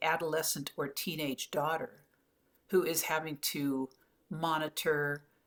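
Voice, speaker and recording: A woman speaks in a very deep, low voice. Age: 70s. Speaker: lifestyle vlogger on aging. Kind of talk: casual talk to camera.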